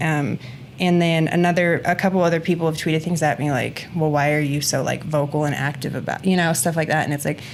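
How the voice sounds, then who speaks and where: Noticeable background noise sits behind a woman with a very deep, low pitch. She talks at a fairly quick pace with ordinary pitch variation. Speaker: gym owner and podcast co-host. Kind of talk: casual podcast chat.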